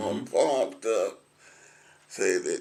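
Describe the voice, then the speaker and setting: Speaking at a very slow pace, a man talks with a Middle Tennessee accent. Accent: Southern US (Middle Tennessee). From Williamson County, Tennessee. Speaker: retired concrete truck driver, war veteran. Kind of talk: oral history interview answer. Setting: assisted living center.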